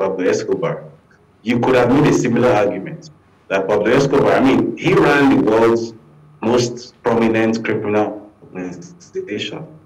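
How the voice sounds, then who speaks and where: A man with a Nigerian accent speaks with ordinary pitch variation. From Nigeria, Lagos. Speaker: journalist and political commentator; guest commentator. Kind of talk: TV talk show interview. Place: home room. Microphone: video call.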